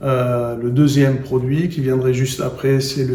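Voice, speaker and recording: Fairly slow speech with fairly even intonation and audible room echo. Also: man. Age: 60s. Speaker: endodontist and professor. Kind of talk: interview. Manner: hesitant, with fillers and repetitions.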